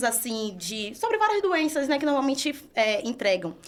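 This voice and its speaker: A woman speaks with a Bahian accent. Her pace is moderate. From Brazil, Salvador, Bahia. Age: 20s. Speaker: entrepreneur. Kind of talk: podcast interview.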